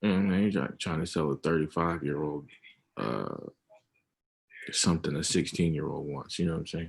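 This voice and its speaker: Before a quiet background, a man with a very deep, low pitch and vocal fry speaks at a fairly quick pace with ordinary pitch variation. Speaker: forex trader. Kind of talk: casual chat. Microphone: video call.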